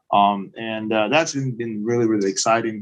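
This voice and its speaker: Speaking with a Belarusian accent, a man uses a medium pitch. His intonation is monotone and flat, at a moderate pace. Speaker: project management consultant. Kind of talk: webinar presentation. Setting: live online webinar. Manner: halting, many fillers. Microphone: echo.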